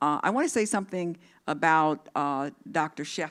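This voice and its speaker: A woman talks in a very deep, low pitch. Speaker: social work dean. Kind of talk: ceremonial speech. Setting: auditorium with live and online audience. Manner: loud.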